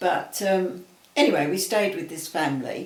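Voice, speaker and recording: Heard with audible room echo, a man speaks at a fairly high pitch with ordinary pitch variation. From Southeast London. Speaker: interviewee recalling childhood. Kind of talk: casual chat. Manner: halting.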